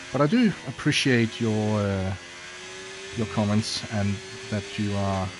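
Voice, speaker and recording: A fairly low-pitched man with a non-native accent, a fairly slow pace, fairly even intonation, long and frequent pauses, and noticeable background noise. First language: not English. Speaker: sim racing streamer. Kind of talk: live gameplay commentary. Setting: livestream reading chat. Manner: casual, hesitant with fillers.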